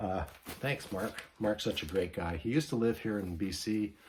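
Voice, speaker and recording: The speaker talks at a fairly quick pace with lively intonation, a somewhat breathy voice and a Canadian accent. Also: man. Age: 70s. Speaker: vinyl record vlogger. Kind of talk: casual vlog.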